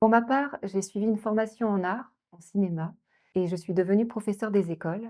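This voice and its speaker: The tone is dark and mellow, delivered at a moderate pace. Loudness swings widely. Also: woman, medium pitch for a woman, ordinary pitch variation. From Normandy, France. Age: 30s. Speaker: shop worker and writer. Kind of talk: campaign candidate introduction to camera.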